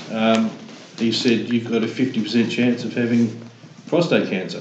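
Speaking at a moderate pace with an Australian accent, a man is heard over noticeable background noise with audible room echo. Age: 60s. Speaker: prostate cancer survivor. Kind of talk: casual chat.

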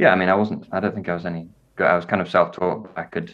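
A man with a northern English accent speaks at a very deep, low pitch. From northern England (Wakefield, Yorkshire). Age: young. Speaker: jazz violinist and composer. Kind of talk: casual interview chat.

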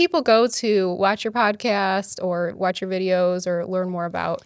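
Fairly even intonation runs through a normal speaking voice. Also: woman. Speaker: podcast host. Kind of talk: casual podcast interview. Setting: studio.

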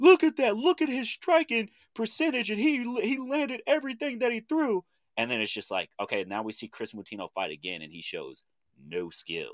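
A man with an American accent talks at a fairly quick pace, his loudness swinging widely. The recording is very clean and dry, close-miked with no echo and a silent background. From Oklahoma (Chandler, Lincoln County). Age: 30s. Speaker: podcast host. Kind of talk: casual chat.

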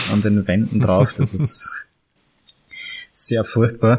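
With a Viennese accent, a man talks at a fairly slow pace and a medium pitch. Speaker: photographer and historical fencer. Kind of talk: interview.

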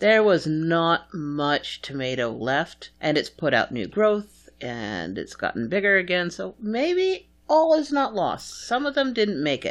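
A woman with an American accent talks at a moderate pace, her pitch swinging very widely. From New England, US. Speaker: podcast co-host. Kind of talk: casual chat. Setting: recording at own home.

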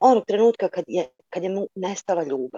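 This woman's voice has a dark, mellow tone. The sound is dry and close, with no echo. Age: 40s. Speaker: caller. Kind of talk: participant question on video call. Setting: video call.

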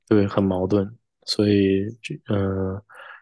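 With a dry, close sound, no echo and a quiet background, a man at a fairly low pitch talks at a moderate pace. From Northeast China (Shenyang, Liaoning), then Toronto from 2002. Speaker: chip design engineer. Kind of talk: podcast interview. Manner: halting, many fillers.

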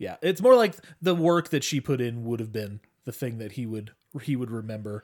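A man talks in a plain, everyday voice at a medium pitch, fairly quick and with lively intonation, on a very clean recording with a silent background. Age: 30s. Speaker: podcast co-host. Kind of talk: casual chat.

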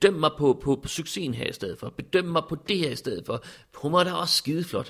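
At a moderate pace, a man with a fairly high pitch speaks with vocal fry. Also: ordinary pitch variation. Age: 40s. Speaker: interviewee. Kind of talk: personal testimony. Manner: halting.

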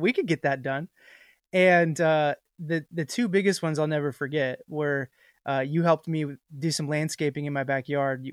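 A man's unremarkable speaking voice at fairly high pitch and moderate pace, fairly even in intonation, dry and close with no echo, in a very clean recording with a silent background. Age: 30s. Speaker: podcast host. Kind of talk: casual chat.

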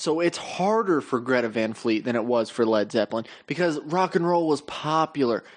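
With an unremarkable speaking voice, a man talks at a moderate pace and a fairly high pitch, using lively intonation, very even loudness and hardly any pauses. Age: 20s. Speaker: podcast co-host. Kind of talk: casual chat.

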